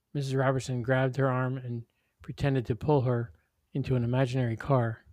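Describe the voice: Someone does plain reading aloud. Nothing much sounds in the background.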